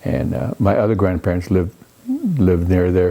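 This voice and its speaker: A man's very deep, low voice at a moderate pace over background music. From Rosebud Reservation, South Dakota, Lakota. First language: Lakota. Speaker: author. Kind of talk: interview. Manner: halting, repeats words.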